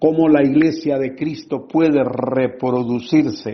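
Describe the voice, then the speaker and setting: The intonation stays fairly even as the words come at a very slow pace. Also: man. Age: 70s. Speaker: pastor and church planter. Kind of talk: pastoral teaching talk. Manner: fervent, preacher-like.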